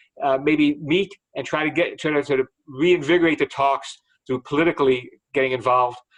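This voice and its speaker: A man with an American accent and an ordinary speaking voice, pitched fairly high, speaks at a fairly quick pace. His intonation is fairly even, and the sound is dry and close with no echo. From Chicago, US Midwest. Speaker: financial market analyst. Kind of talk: webinar talk and Q&A.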